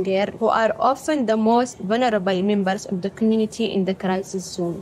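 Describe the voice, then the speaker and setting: Noticeable background noise runs under the voice. Its intonation is fairly even. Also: woman. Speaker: doctor and aid worker. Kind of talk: testimony.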